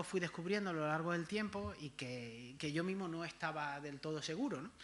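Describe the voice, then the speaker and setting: The voice has a bright, sharp tone and ordinary pitch variation, speaking at a moderate pace in an Andalusian accent. Audible room echo surrounds it. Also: man. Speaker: history professor. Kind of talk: lecture. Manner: halting, many fillers and repetitions.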